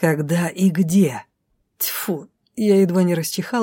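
Over a quiet background comes an unforced reading voice with fairly even intonation.

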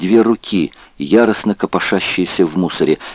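A natural voice reading, its pitch moving in a normal way

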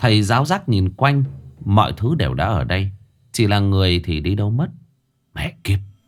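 Quiet background, with plain reading aloud

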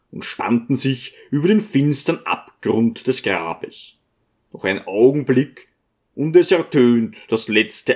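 Plain reading aloud fills the clip. The background is quiet.

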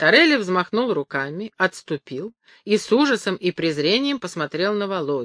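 The delivery is a natural reading voice with lively intonation. The background is quiet.

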